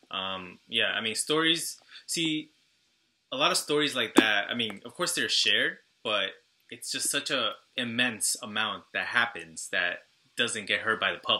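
A man with an American accent at a fairly slow pace, on a very clean recording with a silent background. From Long Island, New York. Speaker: podcast host. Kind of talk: interview.

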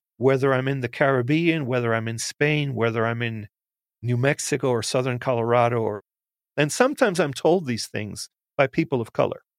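Recorded dry and close with no echo against a silent background in a very clean recording, a man with an unremarkable speaking voice talks fairly quickly at medium pitch with ordinary pitch variation. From United States, Cuban-American family. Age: 60s. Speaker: professor. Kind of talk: interview.

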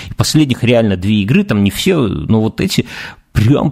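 Somewhat breathy, a man speaks at a moderate pace. His pitch swings very widely. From Belarus. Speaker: podcast co-host. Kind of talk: casual chat.

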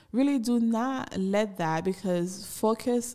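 With a Haitian accent, a woman talks at a very slow pace. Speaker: podcaster. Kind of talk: personal storytelling monologue. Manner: laughs often.

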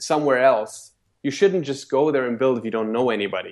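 This man has a German accent. His pitch shows ordinary variation. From Germany. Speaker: network marketing leader. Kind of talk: interview. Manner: halting.

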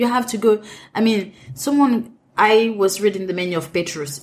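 Somewhat breathy, a woman talks in a French accent. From Cameroon. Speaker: restaurant manager and event planner. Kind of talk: interview conversation. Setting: in-person interview. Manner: frequent laughter.

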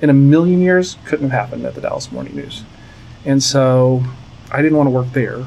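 A man with an American accent talks at a moderate pace. His pitch is fairly high and his intonation fairly even. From Virginia Beach, Virginia, US. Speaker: PR and marketing agency head. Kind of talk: interview. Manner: halting, many fillers.

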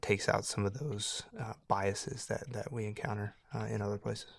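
Here a man speaks at a moderate pace. The recording is very clean, with a silent background. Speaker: portfolio manager. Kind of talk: casual chat.

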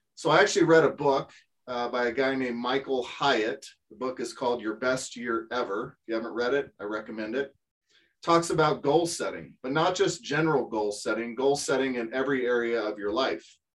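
A plain, everyday voice from a man, medium in pitch with ordinary variation, at a fairly quick pace. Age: 50s. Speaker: part-time online reseller. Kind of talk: casual interview.

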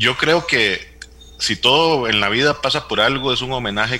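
A man speaks while noticeable background noise carries on behind him. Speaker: doctor, health administrator. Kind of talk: interview.

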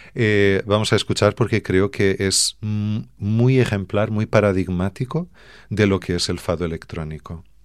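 In a very clean recording with a silent background, a man speaks in a fairly low voice with a Portuguese accent. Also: ordinary pitch variation, moderate pace. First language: Portuguese (speaking Spanish). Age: 40s. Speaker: fado singer and songwriter. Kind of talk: radio interview.

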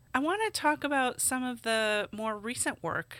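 Speaking fairly slowly, a woman's bright, sharp tone comes through on a very clean recording with a silent background. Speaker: podcast host. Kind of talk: podcast intro and interview.

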